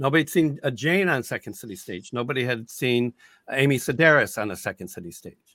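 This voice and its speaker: Bright and sharp in tone, a man's voice swings very widely in pitch and shows vocal fry. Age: 60s. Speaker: improv comedian and teacher. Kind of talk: casual chat. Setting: video call.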